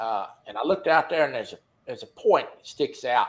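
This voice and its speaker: A man keeps to a moderate pace in an American accent. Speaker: fishing talk show host. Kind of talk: casual chat. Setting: live stream.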